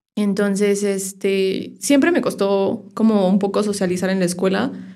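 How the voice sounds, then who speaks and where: A woman's medium-pitched, dark, mellow voice at a fairly slow pace, with audible room echo. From Mexico, Irapuato, Guanajuato. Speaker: sound therapist. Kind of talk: casual interview.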